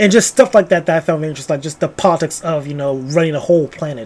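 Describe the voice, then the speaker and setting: The man's pitch sits fairly high. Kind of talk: casual book review talk to camera. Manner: casual, rambling.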